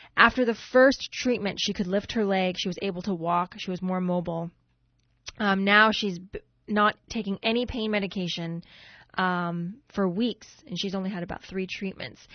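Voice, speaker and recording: A woman talks at a moderate pace in a medium pitch, with an unremarkable speaking voice. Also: fairly even intonation. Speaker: radio co-host. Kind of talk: radio show hosting. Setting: radio studio.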